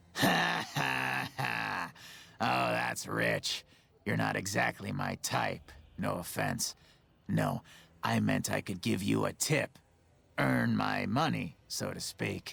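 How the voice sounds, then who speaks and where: A raspy put-on character voice drags along at a very slow pace with long, frequent pauses, music playing in the background. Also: man, very deep, low pitch for a man. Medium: video game. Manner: chatty, joking.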